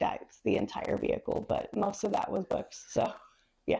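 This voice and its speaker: She talks in a Midwestern American accent. The speaker is a woman. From Monroe, Ohio. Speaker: library branch manager. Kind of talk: oral history interview answer.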